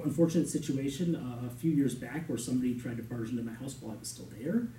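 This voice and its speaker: A man talking at a very fast pace, with audible room echo. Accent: American. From Shorewood, Wisconsin, US Midwest. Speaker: village board candidate. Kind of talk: interview answer at public meeting. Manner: halting, many repeated words and fillers.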